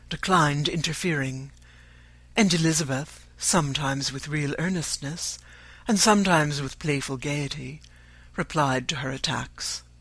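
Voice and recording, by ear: At a fairly slow pace, a man speaks with a fairly high pitch and a fairly bright tone. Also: ordinary pitch variation.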